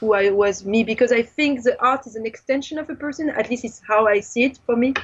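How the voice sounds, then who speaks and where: Talking at a fairly quick pace, a woman with a fairly high pitch has a strong French accent. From France. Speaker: film director and visual artist. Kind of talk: interview. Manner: animated.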